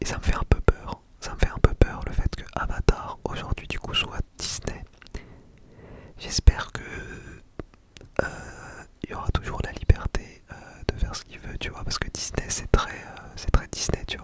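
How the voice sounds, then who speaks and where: Whispering at a fairly slow pace, a man swings widely in loudness and leaves long, frequent pauses over noticeable background noise. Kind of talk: ASMR talk to camera. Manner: whispered, very close to the microphone, casual.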